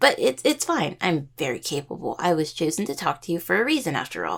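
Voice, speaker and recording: A raspy, put-on character voice at a middle pitch and a fairly quick pace. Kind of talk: audio roleplay addressing the listener. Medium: audio drama. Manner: rambling, casual, self-correcting.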